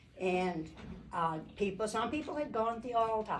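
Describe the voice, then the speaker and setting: A woman talks at a moderate pace with lively intonation, and the room echo is audible. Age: 80s+. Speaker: church speaker. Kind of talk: testimony. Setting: church Mother's Day brunch with audience. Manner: halting.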